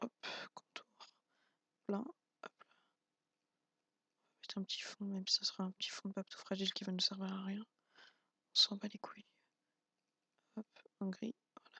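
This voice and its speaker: A quiet, high-pitched man at a moderate pace, with long, frequent pauses, big swings in loudness, and a dry, close sound with no echo. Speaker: YouTube tutorial maker. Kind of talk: tutorial. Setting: home, at night, not to wake wife. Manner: quiet, subdued voice; hesitant, many fillers.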